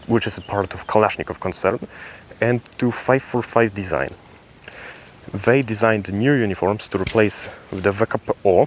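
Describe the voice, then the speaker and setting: A man at a moderate pace with long, frequent pauses, over noticeable background noise. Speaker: military gear reviewer. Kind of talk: tutorial. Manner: halting.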